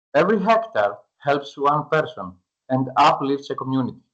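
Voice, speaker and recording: Lively intonation runs through this moderate-paced speech in a Greek accent. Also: man. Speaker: startup founder pitching to investors. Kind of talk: pitch presentation; Q&A answer. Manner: halting, hesitant with fillers.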